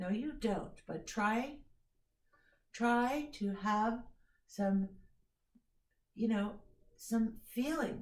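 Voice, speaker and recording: Somewhat breathy and fairly high in pitch, a woman speaks very slowly with ordinary pitch variation amid audible room echo. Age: 50s. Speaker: violin teacher. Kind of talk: music lesson. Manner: instructive, direct.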